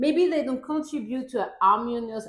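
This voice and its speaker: A woman with a non-native accent speaks in a high voice. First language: not English. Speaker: parenting vlogger; mother. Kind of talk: casual talk to camera, partly reading from a script. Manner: reads from a script.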